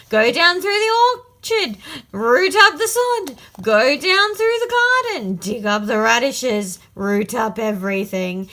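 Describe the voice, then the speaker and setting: A woman uses a put-on character voice with a high pitch. She speaks at a fairly slow pace. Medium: read story. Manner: repeats words.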